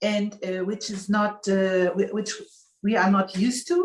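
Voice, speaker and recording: This is a woman with a German accent. Her pitch sits in the medium range. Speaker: spiritual coach. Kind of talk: casual chat.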